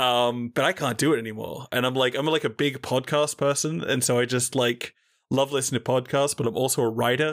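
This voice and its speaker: Over a silent background in a very clean recording, a man with an Australian accent talks at a fairly quick pace, at medium pitch, with fairly even intonation. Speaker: podcast host. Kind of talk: casual chat.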